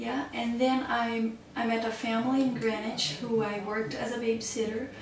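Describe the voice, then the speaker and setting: A woman's fairly high voice with a Portuguese accent, at a moderate pace and with fairly even intonation, amid audible room echo and noticeable background noise. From Brazil. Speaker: babysitter and early childhood educator. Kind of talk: interview.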